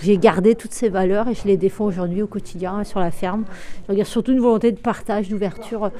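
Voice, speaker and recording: At a fairly quick pace, a woman talks with a medium pitch and fairly even intonation. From Brittany, France (Brest). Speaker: dairy farmer. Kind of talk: interview in a documentary report. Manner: hesitant, with fillers.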